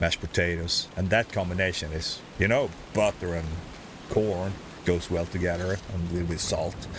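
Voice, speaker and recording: This man has a very deep, low pitch and a southern Swedish accent. He speaks at a moderate pace with fairly even intonation. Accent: Swedish-accented English, Scanian. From southern Sweden (Skåne). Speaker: gaming livestreamer. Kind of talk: casual chat.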